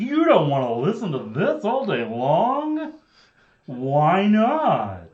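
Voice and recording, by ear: The speaker uses a put-on character voice at a very slow pace. The pitch swings very widely. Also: man, high pitch for a man.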